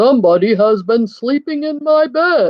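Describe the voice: Someone uses a put-on character voice. It is high in pitch.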